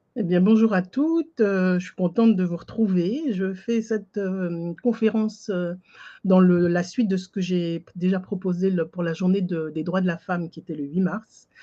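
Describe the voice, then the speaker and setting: The background is quiet as a woman talks. Her tone is dark and mellow, at a moderate pace. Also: medium pitch for a woman, ordinary pitch variation. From French Antilles. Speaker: life coach. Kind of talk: webinar presentation. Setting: online video conference.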